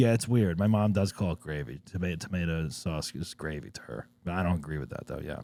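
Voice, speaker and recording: With an American accent, a man talks at a fairly quick pace with hardly any pauses, his very deep, low pitch and dark, mellow tone shaped by lively intonation. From New Jersey. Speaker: podcast host. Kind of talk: casual chat.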